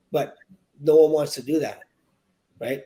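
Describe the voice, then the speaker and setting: A man talks at a fairly quick pace with a Western Canadian accent. His tone is dark and mellow. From Canada, British Columbia (Victoria). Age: 60s. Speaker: real estate agent. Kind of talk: podcast interview. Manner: halting, with repetitions.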